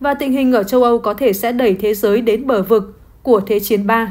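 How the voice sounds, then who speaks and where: At a moderate pace, a woman speaks in an ordinary speaking voice. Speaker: news presenter. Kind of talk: news reading.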